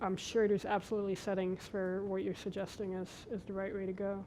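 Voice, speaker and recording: Her voice has a dark, mellow tone, and the woman speaks with monotone, flat intonation. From Belgium, first twelve years. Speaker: scientist, lecture speaker. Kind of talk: Q&A after a lecture.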